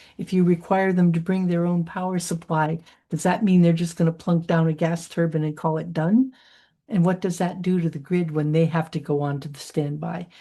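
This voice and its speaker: A woman speaks at a fairly low pitch in a dark, mellow, somewhat breathy tone. She keeps a fairly even intonation at a moderate pace against a quiet background. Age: 80s+. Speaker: keynote speaker. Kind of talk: Q&A answer at a virtual conference.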